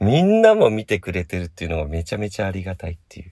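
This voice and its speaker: His delivery races along at a very fast clip. The man's pitch moves in an ordinary way. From Kanagawa, Japan (Hadano area). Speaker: podcast host, band member. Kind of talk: casual chat. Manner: frequent laughter.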